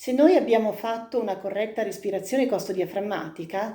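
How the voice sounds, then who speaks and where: A woman talks at a moderate pace and a medium pitch in an unremarkable speaking voice. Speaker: singing teacher. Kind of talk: vocal technique lesson to camera.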